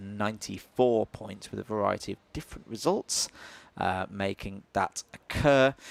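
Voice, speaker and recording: A man with a Yorkshire accent, fairly low in pitch, at a moderate pace, with ordinary pitch variation, big swings in loudness, and a dry, close sound with no echo. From Yorkshire, northern England. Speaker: motorsport commentator. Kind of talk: live commentary. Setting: live stream at a kart circuit. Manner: frequent filler hesitations.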